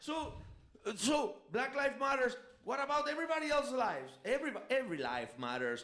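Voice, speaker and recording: A man with a Spanish accent talks at a fairly quick pace, with audible room echo. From Venezuela, of Spanish parents. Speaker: podcast co-host. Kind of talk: casual chat. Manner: halting.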